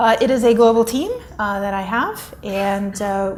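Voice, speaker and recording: A woman's somewhat breathy, medium-pitched voice with an American accent, moderate in pace, fairly even in intonation, with audible room echo. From United States. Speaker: corporate executive. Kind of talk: conference keynote.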